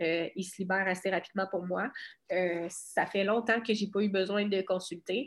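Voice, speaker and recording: A woman with a Quebec accent speaks at a medium pitch and moderate pace, her intonation fairly even. The recording is very clean, with a silent background. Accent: Québécois French. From Quebec, Bas-Saint-Laurent (Cabano). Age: 20s. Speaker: boxer. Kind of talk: casual interview.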